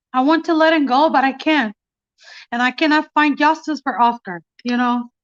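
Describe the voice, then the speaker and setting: A high-pitched woman with a Mexican accent, in a dry, close sound with no echo. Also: ordinary pitch variation, moderate pace. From Mexico. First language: Spanish. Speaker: mother of police killing victim. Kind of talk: testimony. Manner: halting.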